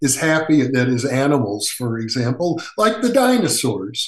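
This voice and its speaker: A man with an American accent, with very wide pitch swings at a fairly slow pace. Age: 70s. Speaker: parapsychologist. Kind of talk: interview.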